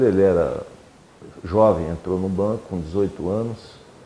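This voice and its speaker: Delivered very slowly with fairly even intonation, the speech comes over noticeable background noise. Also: man. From Brazil, São Paulo (city from age 12). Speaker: former student activist. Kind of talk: oral history interview.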